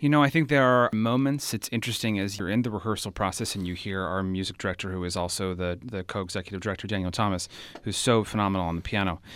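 This man talks very fast in an American accent. His pitch sits fairly low. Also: ordinary pitch variation, hardly any pauses. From California, Bay Area. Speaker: theater director. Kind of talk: interview.

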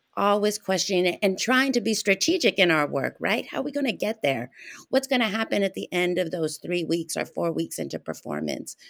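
A woman's medium-pitched voice with vocal fry, lively intonation, an American accent and a moderate pace. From Arizona. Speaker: theater artist. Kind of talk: casual chat.

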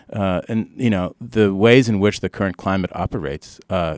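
A man speaks in an ordinary speaking voice at a moderate pace, with lively intonation. The recording is very clean, dry and close, with a silent background and no echo. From Canada. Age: middle-aged. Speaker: professor and author. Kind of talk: interview.

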